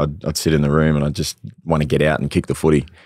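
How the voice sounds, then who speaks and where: The background is quiet and the sound is dry, with no echo. A man speaks with a very deep, low pitch. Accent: Australian. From Australia (Northern Territory). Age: young. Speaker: musician and former professional footballer. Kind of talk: casual interview. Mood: relaxed, candid. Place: studio. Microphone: studio mic.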